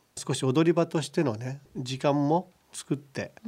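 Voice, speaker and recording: At a fairly slow pace, a man talks in an unremarkable speaking voice, fairly high-pitched with ordinary pitch variation. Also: very clean recording, silent background. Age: 60s. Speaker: pig farming company chairman. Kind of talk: radio interview. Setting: studio.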